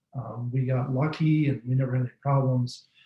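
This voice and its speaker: Somewhat breathy, a man speaks at a moderate pace. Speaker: bat researcher. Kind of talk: webinar presentation.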